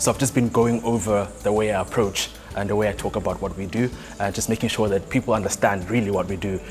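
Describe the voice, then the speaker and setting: Over music in the background, a man with a fairly low voice speaks very fast with fairly even intonation. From South Africa, Johannesburg. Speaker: startup founder. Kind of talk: interview.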